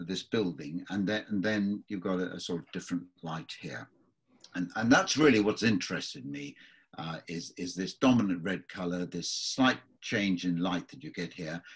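A man with a very deep, low voice talks at a moderate pace, his loudness swinging widely while his pitch varies in an ordinary way against a quiet background. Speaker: watercolour tutor. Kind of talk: tutorial. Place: workshop.

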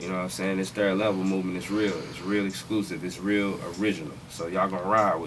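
A man with a very deep, low pitch talks at a very fast pace with hardly any pauses and fairly even intonation, over noticeable background noise. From Houston area, Texas; Texas. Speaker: DJ and music producer; DJ. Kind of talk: radio interview. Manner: casual, slangy. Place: studio. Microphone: studio mic.

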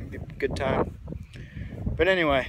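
With an American accent, a man talks against noticeable background noise. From US Northeast. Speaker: outdoor vlogger. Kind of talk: vlog narration. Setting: outdoors on a mountain. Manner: casual, hesitant with fillers.

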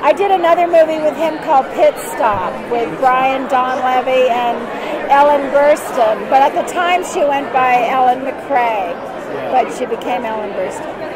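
A woman speaks at a fairly slow pace with crowd noise in the background. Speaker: guest. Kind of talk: interview answer. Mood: cheerful, laughing. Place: hall. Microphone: phone near.

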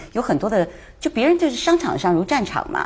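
Somewhat breathy and very fast, a woman's voice swings very widely in pitch. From Taiwan. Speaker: talk show guest commentator. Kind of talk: casual chat.

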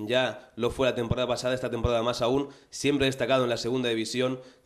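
A man talks against a quiet background. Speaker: show host. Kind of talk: presenter commentary. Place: studio. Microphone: handheld.

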